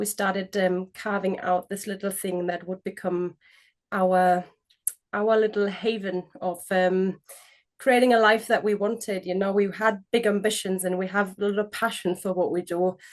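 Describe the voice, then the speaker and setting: Speaking with a German accent, a woman talks at a moderate pace and medium pitch. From Germany. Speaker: business co-founder. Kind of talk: interview. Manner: animated.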